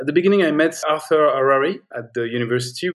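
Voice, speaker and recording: With a French accent, a man is talking. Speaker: film editor. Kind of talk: interview, casual. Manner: halting, hesitant with fillers.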